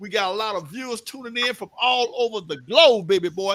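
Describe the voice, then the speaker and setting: A man's raised, projected voice at an extremely high pitch, bright, sharp and animated, with ordinary pitch variation. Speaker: live show host. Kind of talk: casual chat.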